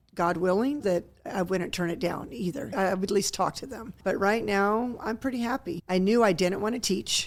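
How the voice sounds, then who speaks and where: A woman with a plain, everyday voice speaks at a medium pitch. Her pace is moderate, with hardly any pauses. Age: 60s. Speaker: retired volleyball coach. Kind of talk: radio interview. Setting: radio studio.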